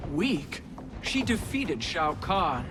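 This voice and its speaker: Against loud background noise, a man puts on a character voice pitched high. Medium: video game.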